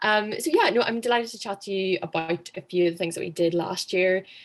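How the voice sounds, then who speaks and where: A woman speaks at a fairly quick pace with a Northern Irish accent. Her pitch sits fairly low. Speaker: former student society president. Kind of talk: online workshop presentation.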